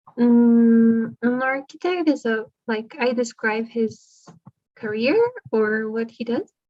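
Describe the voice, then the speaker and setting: Speaking in a Spanish accent, a woman has a fairly high pitch and fairly even intonation. Her pace is very slow. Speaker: English student. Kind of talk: online English lesson. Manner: halting.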